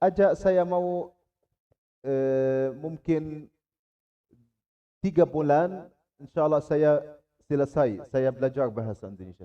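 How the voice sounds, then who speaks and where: With an Arabic accent, a man speaks at a very slow pace with long, frequent pauses, a fairly high pitch, lively intonation and big swings in loudness. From Gaza, Palestine. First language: Arabic (speaking Indonesian). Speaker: Islamic scholar. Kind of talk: religious talk to students. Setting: Islamic boarding school. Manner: halting in Indonesian.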